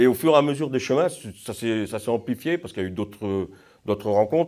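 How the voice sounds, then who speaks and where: A man with a medium pitch and a dark, mellow tone talks at a fairly quick pace. His intonation is lively, and the recording is very clean with a silent background. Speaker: pilgrim. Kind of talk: testimony. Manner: halting.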